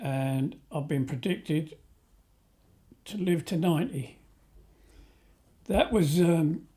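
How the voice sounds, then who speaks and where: A man speaks at a very slow pace with long, frequent pauses, using a fairly high pitch, lively intonation and a dark, mellow tone. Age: 70s. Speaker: pensioner interviewee. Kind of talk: interview testimony.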